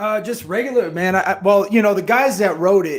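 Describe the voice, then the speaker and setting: A man with an American accent. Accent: New Jersey, diluted. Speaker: comedian and actor. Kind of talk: casual interview chat. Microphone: computer-plugged mic, weak until close.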